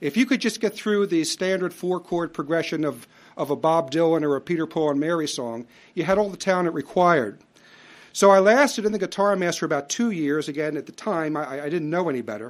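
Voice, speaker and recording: In a very clean recording with a silent background, a man with an American accent speaks fairly quickly in a high pitch with lively intonation. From US Northeast, Philadelphia. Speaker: lecturer. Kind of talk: lecture. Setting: stage with audience.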